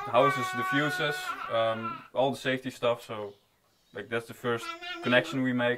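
Noticeable background noise runs under the recording. A man speaks at a moderate pace. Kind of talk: interview answer. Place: boat.

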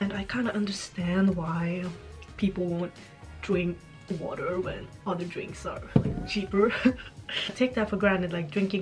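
A woman at a moderate pace with fairly even intonation, clear music in the background. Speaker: travel vlogger. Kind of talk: casual vlog chat. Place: home room. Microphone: phone near.

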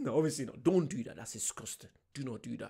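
Over a quiet background, a man talks at a very fast pace with lively intonation. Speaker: reaction video host. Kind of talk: casual reaction commentary. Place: home room. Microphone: studio mic.

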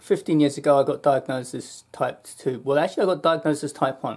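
A man speaks very fast, his intonation fairly even, with a quiet background. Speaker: health vlogger. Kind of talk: casual vlog chat. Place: home room. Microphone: webcam.

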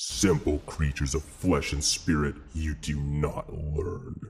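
In a put-on character voice, a man talks at a very deep, low pitch. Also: fairly slow pace. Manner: contemptuous, menacing.

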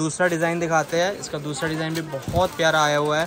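Against crowd noise in the background, a man speaks at a moderate pace in a flat monotone, in a dry sound with no echo. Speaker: shop vlogger or seller. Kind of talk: product showcase commentary. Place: shop. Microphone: phone near.

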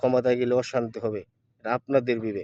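A man speaks at a medium pitch with a dark, mellow tone. The sound is dry and close, with no echo. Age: 40s. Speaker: political video blogger. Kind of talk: political monologue to camera. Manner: halting, many pauses.

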